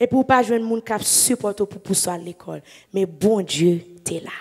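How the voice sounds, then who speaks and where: In a Haitian accent, a woman talks at a moderate pace with lively intonation against a quiet background. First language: Haitian Creole (speaking French). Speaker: evangelist preacher. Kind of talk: sermon. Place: church. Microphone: handheld.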